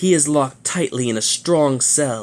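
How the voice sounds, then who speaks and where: At a moderate pace, a man puts on a character voice pitched fairly high. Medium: read story. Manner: firm, authoritative.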